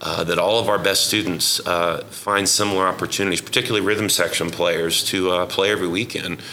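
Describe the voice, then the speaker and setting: A man's very deep, low voice in an American accent, monotone and flat, with very even loudness, hardly any pauses and noticeable background noise. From Oklahoma, Yukon. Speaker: jazz educator and musician. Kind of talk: interview.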